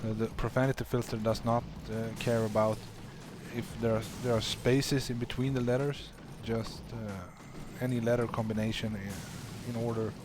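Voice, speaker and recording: A man with a non-native accent speaks at a moderate pace and medium pitch. His intonation is monotone and flat, with long, frequent pauses. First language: not English. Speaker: game streamer. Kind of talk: live commentary. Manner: halting.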